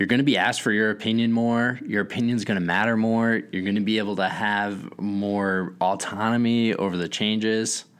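Using an unremarkable speaking voice, a man talks at a moderate pace and fairly low pitch with fairly even intonation, very even loudness and hardly any pauses. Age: 30s. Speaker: software startup founder and podcast co-host. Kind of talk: casual chat.

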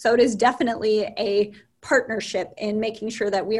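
Somewhat breathy and flat in intonation, the voice moves at a moderate pace on a very clean recording with a silent background. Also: woman. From North Dakota. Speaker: university dean. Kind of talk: interview.

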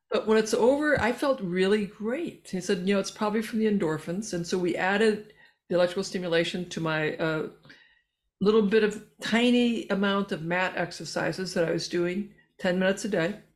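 A woman in a normal speaking voice talks at a fairly quick pace and medium pitch, with ordinary pitch variation. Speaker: physician and researcher. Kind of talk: interview. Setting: remote call.

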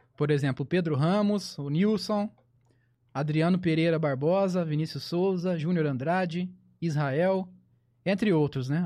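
A man speaks at a moderate pace in a high, dark and mellow voice. His pitch varies in an ordinary way over a quiet background. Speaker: podcast co-host. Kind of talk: casual chat.

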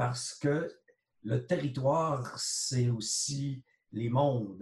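His intonation stays fairly even at a medium pitch. This man's voice is somewhat breathy. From Quebec, Huron-Wendat nation. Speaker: sociologist and art critic. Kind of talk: interview.

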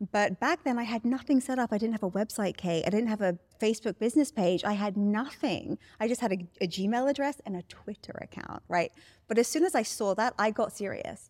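With a British accent, a woman speaks at a fairly quick pace and fairly high pitch, showing ordinary pitch variation in a dry, close sound with no echo. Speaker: life coach. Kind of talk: interview. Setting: studio.

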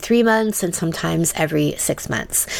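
A woman's fairly low voice with ordinary pitch variation over noticeable background noise. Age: 50s. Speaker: sex and relationship coach. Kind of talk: scripted narration.

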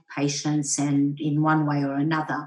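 A woman speaks with an Australian accent. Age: 60s. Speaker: general practitioner with lived experience of depression. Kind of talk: panel discussion.

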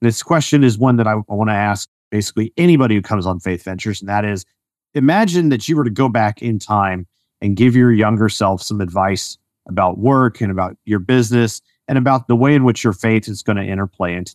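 Against a quiet background, a man with a fairly low pitch talks very fast, the sound dry and close with no echo, his loudness swinging widely and his pitch varying in an ordinary way. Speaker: podcast host. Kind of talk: interview, conversational.

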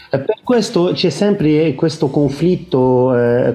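A man's very slow, somewhat breathy speech in an Arabic accent. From Lebanon. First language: Arabic (speaking Italian). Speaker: Maronite priest and monk. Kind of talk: interview. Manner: halting.

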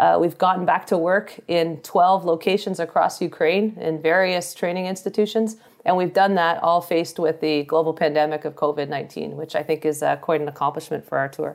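A woman with a Canadian accent speaks at a fairly quick pace with hardly any pauses. She has a plain, everyday voice, fairly low in pitch, with fairly even intonation. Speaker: army officer. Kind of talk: interview. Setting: remote call from deployment.

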